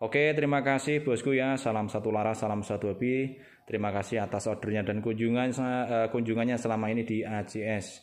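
Fairly quick and very even in loudness, a man with a plain, everyday voice speaks at a medium pitch with fairly even intonation. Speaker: airgun seller and channel host. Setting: outdoors in the rain at a shooting range.

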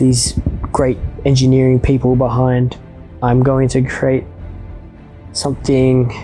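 A man at a fairly slow pace with monotone, flat intonation and faint music in the background. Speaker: maker video host. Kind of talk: comedic narration. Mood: playful, deadpan humor. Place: home room. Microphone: lapel.

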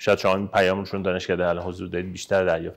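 A man is speaking. The background is quiet. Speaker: periodontist. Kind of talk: podcast interview host. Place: home room.

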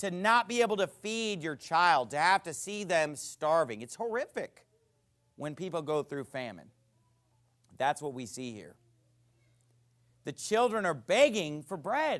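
A man's high voice in an American accent, fairly slow with long, frequent pauses, very wide pitch swings and big swings in loudness, over a quiet background. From United States. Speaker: pastor. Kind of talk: sermon. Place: church.

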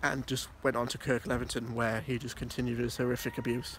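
The man speaks at a moderate pace. The sound is dry with no echo, and there is noticeable background noise. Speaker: urban explorer vlogger. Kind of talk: casual vlog narration. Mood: serious, somber. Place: open country. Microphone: phone near.

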